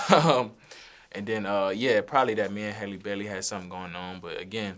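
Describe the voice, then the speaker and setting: With a New Orleans accent, a man talks at a fairly quick pace, using a fairly low pitch and ordinary pitch variation. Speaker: recording artist. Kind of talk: interview answer. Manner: casual, relaxed.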